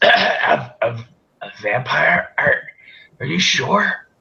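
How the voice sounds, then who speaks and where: A man puts on a croaky character voice. He speaks at a very slow pace. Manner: stammering, startled.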